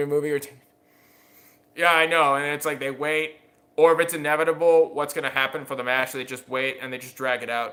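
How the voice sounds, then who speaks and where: A man's bright, sharp, fairly high voice, very fast and flat in a monotone. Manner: fast talker; talks faster without realizing it.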